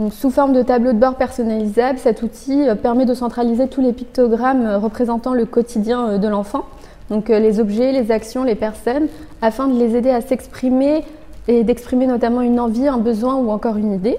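Over noticeable background noise, a woman with a high pitch speaks at a moderate pace in a monotone, flat intonation. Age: 20s. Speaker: engineer and app co-founder. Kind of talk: interview. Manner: formal.

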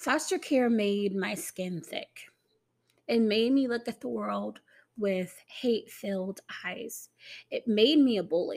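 The pace is very slow. The intonation is lively. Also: woman, fairly high pitch for a woman. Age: 30s. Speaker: podcast host. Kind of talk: personal monologue.

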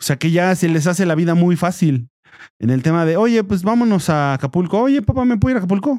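A man with a Mexican accent speaks very fast in a high pitch with lively intonation. His tone is dark and mellow, and his loudness stays very even. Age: 30s. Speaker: podcast co-host. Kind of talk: casual chat.

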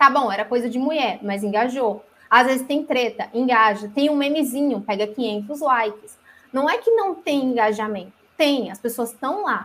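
Speaking at a moderate pace, a woman talks in a high pitch. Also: ordinary pitch variation. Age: 20s. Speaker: graphic designer. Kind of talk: casual chat.

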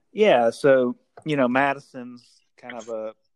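Recorded dry and close with no echo, a man speaks with a Southern US accent. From Mississippi, Vicksburg. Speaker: brewery founder. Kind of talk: casual interview.

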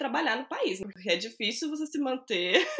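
A woman's high-pitched voice at a fairly quick pace, with noticeable background noise. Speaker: podcast host, journalist. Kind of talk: casual interview chat.

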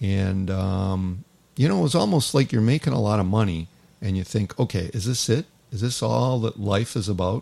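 A man talks in an unremarkable speaking voice, fairly low in pitch, with ordinary pitch variation and a moderate pace. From Toronto, Canada. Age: 60s. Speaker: hockey chaplain and former pro hockey player. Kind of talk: casual interview chat.

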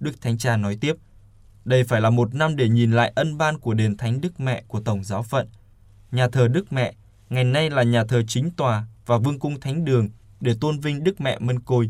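Here a man has an unremarkable speaking voice at a medium pitch, with ordinary pitch variation and a moderate pace. The recording is very clean, with a silent background. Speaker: radio news presenter. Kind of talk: news reading.

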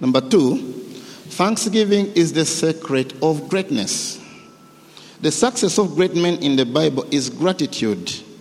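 Noticeable background noise surrounds a man with a fairly high pitch and lively intonation. He speaks fairly slowly, with long, frequent pauses. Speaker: preacher. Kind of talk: sermon; fervent prayer. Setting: church. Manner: fervent; animated.

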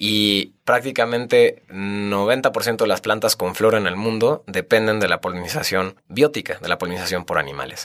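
At a moderate pace, a man talks with fairly low pitch and ordinary pitch variation. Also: hardly any pauses. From Mexico, Querétaro (Tequisquiapan). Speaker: NGO communications director. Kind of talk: casual interview. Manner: animated.

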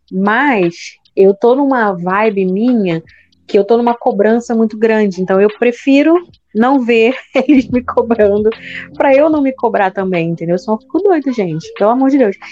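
A woman speaks at a moderate pace and a fairly high pitch. Her tone is dark and mellow, with lively intonation. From Brazil, Rio de Janeiro. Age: 30s. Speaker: podcast co-host, teacher. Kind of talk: casual chat. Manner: loud.

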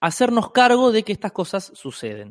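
A man's voice over a quiet background. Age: 30s. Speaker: free love activist. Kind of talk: casual chat.

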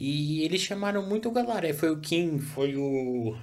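A man with a fairly high voice talks with lively intonation, and audible room echo surrounds him. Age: 30s. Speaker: podcast host. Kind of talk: casual chat.

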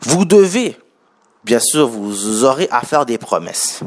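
A man with lively intonation and a Quebec accent. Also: dry, close sound with no echo. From Haitian heritage. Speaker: podcast host and entrepreneur. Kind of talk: solo podcast monologue. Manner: casual, many fillers.

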